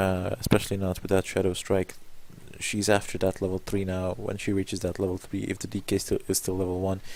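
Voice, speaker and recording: A man talks quietly at a fairly quick pace. His pitch is fairly low. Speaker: game commentator. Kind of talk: live commentary.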